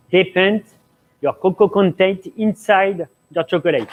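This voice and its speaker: A high-pitched man in a French accent. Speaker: pastry chef. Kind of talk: cooking demonstration Q&A. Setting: live stream studio. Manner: halting.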